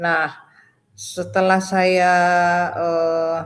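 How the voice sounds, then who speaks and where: A woman speaks in a fairly low voice. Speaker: retired doctor giving a conversion testimony. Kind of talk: testimony. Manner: halting, many fillers.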